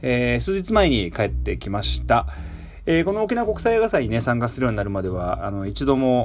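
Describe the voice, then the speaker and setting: With noticeable background noise behind him, a man talks at a fairly quick pace in a relaxed tone. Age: 30s. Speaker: musician and radio host. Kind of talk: casual radio monologue. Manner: relaxed, many fillers.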